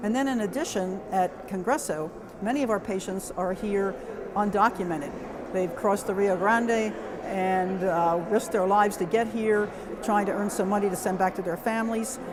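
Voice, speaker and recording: A woman's medium-pitched voice at a moderate pace, ordinary pitch variation, audible room echo and noticeable background noise. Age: 70s. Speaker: nurse practitioner. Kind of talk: testimony.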